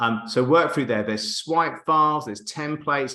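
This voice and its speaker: A man speaks at a very fast pace. His pitch varies in an ordinary way. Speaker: marketing coach. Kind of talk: live webinar presentation. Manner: animated.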